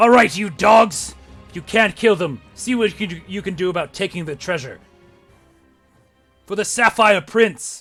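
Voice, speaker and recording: A man's gruff, put-on character voice, high-pitched, raised and projected, at a moderate pace, with big swings in loudness, long, frequent pauses and faint music in the background. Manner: commanding.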